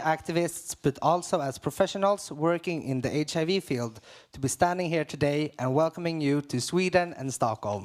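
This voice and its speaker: A man talks in a normal speaking voice, fairly high in pitch, at a moderate pace with ordinary pitch variation. The sound is dry and close, with no echo. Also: hardly any pauses. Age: 20s. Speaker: HIV activist. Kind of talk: prepared speech at conference opening.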